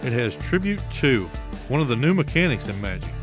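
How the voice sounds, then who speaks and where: Music plays behind a man who keeps his speech at a moderate pace. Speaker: show host. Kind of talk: product review / unboxing presentation to camera.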